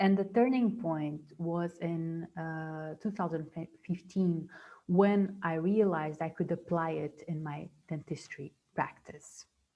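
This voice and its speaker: A woman's fairly low, dark, mellow voice with a non-native accent, very slow and fairly even in intonation. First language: not English. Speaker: dentist and mindfulness trainer. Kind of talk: webinar presentation. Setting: video call. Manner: halting, many fillers and repetitions.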